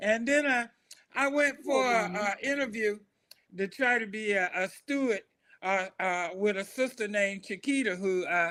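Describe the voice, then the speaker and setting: A raised, projected voice with an American accent carries a bright, sharp tone. It moves at a moderate pace with ordinary pitch variation. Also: man, high pitch for a man. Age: 70s. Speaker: former classmate. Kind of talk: casual chat. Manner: halting.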